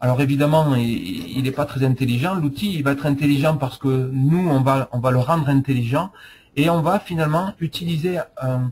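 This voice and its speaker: The voice carries a southwestern French accent and is somewhat breathy. Loudness stays very even, with ordinary pitch variation. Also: man, fairly high pitch for a man, moderate pace. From southwest France. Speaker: software presenter. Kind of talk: product demo. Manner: hesitant, many fillers.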